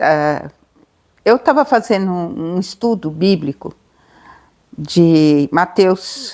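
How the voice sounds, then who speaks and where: A woman speaks very slowly, with long, frequent pauses. Her fairly low pitch moves in lively intonation. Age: 70s. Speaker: adoptive mother. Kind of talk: testimony. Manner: halting.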